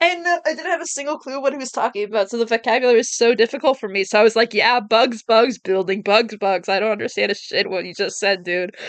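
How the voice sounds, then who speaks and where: The speech comes at a very fast pace. There are hardly any pauses. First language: French. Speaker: video game streamer. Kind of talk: casual let's play commentary.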